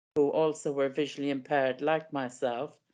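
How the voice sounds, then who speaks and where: Against a quiet background, a woman speaks in an Irish accent with a very deep, low pitch and fairly even intonation. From west of Ireland, County Leitrim. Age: 70s. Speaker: podcast guest with a rare eye condition. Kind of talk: interview. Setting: podcast.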